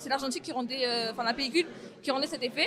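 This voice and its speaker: Crowd noise and audible room echo fill the background. A woman with a high pitch speaks at a very fast pace. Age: 20s. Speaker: young photographer. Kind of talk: interview testimony.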